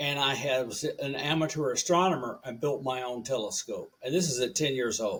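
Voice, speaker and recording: A man talks in a Southern US accent at a moderate pace. His pitch variation is ordinary. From US South, rural Tennessee and Alabama. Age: 70s. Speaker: radio engineer and professor. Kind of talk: podcast interview.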